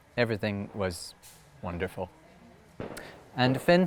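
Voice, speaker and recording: A man with a Scottish accent speaks at a moderate pace in a fairly low pitch. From Scotland. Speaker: storyteller. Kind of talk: oral storytelling performance.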